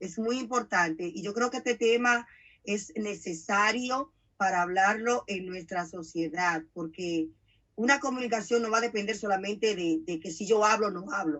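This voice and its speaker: A normal speaking voice from a woman, medium in pitch, with ordinary pitch variation at a moderate pace. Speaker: radio host. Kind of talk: interview.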